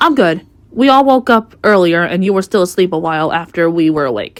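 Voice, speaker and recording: A put-on character voice at a fairly quick pace, with very wide pitch swings. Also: woman, medium pitch for a woman. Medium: read story.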